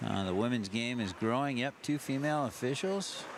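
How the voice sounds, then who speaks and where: Clear background noise surrounds a man who talks at an average speed. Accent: American. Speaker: ice hockey commentator. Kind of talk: live sports commentary. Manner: casual, hesitant with fillers.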